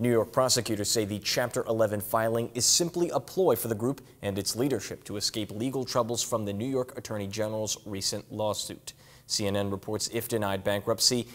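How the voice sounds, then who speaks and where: A man at a moderate pace, medium in pitch. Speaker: morning news anchor. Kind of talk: formal newsreading, measured broadcast delivery of breaking-news copy. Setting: TV studio. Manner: polished, steady anchor cadence with clean sign-off phrasing; upbeat and welcoming in banter. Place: studio. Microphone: lapel.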